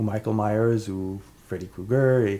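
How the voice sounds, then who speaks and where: In a Quebec accent, a man with a dark, mellow tone speaks at a very slow pace with fairly even intonation. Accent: Québécois French. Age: 30s. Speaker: podcast co-host. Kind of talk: casual chat.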